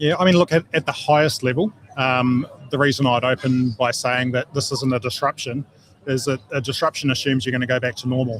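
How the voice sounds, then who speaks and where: The sound is dry and close with no echo as a man talks fairly quickly at a medium pitch, his intonation fairly even. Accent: New Zealand. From New Zealand. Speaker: geopolitical and security consultant, former army officer. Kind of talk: radio interview. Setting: live broadcast at field days. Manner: hesitant with many fillers.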